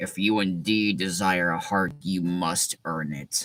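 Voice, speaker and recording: A man's put-on character voice, gruff and growling, very deep and low, at a fairly slow pace on a very clean recording with a silent background. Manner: gruff, growling.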